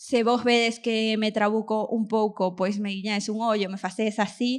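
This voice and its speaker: With an Argentine accent, a woman speaks at a moderate pace and a fairly high pitch. Her intonation is fairly even, and the recording is very clean with a silent background. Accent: Argentine accent in Galician. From Argentina, moved to Vigo at ten. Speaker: podcast host. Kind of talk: live podcast with audience, comedic monologue. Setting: stage with live audience.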